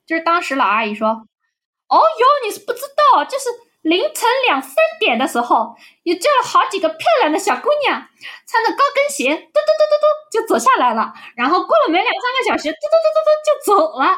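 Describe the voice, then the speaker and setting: Someone performs a put-on character voice with very wide pitch swings. The pace is fairly quick, broken by long, frequent pauses. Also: woman, extremely high pitch for a woman. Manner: gossipy, complaining.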